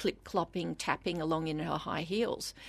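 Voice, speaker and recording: A woman speaks in an Australian accent with ordinary pitch variation. The background is quiet. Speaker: novelist. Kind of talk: interview.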